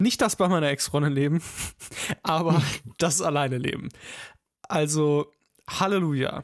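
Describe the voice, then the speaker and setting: Long, frequent pauses break up this fairly slow delivery with ordinary pitch variation. The loudness stays very even. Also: man. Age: 20s. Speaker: podcast host. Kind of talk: casual chat.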